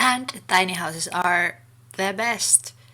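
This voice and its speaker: In a Finnish accent, a woman speaks at medium pitch. Her tone is bright and sharp. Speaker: gaming YouTuber. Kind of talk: casual voiceover commentary.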